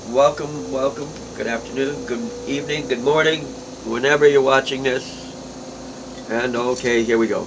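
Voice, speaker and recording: Pausing long and often, a man with a medium pitch speaks at a moderate pace and fairly even intonation amid noticeable background noise. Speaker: glass artist. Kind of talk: tutorial. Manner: casual.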